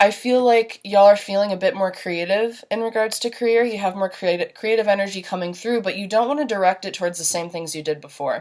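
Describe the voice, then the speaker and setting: A woman speaks at a very fast pace with hardly any pauses. Noticeable background noise runs behind her. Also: medium pitch for a woman, ordinary pitch variation. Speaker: tarot reader. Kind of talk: tarot reading monologue. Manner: casual, animated.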